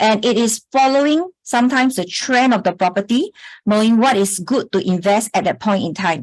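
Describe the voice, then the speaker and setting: A woman with a fairly high, somewhat breathy voice talks at a moderate pace with lively intonation. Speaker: property investment coach. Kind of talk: webinar presentation. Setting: online webinar.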